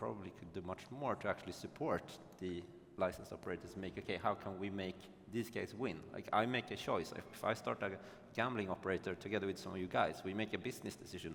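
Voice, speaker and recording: Talking at a very fast pace, a man with a Swedish accent has a very deep, low pitch and ordinary pitch variation. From Sweden. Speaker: panelist, gambling operator executive. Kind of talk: panel discussion. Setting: conference stage with audience.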